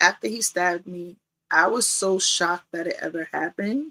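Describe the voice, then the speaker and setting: A woman with a New York accent, medium in pitch with ordinary pitch variation, in a bright, sharp tone at a moderate pace. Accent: New York (Bronx). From New York City, the Bronx. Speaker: domestic violence survivor. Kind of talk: testimony.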